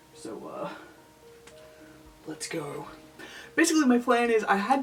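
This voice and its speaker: Very wide swings in pitch from a woman, with noticeable noise behind her. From Australia, NSW. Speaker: lolita fashion YouTuber. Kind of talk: casual makeup vlog. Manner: mutters and trails off.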